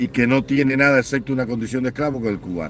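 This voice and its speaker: A man talks in a mid-range voice with normal movement in pitch. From Cuba. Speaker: online political commentator. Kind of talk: livestream commentary rant. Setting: live online stream. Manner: animated, impassioned.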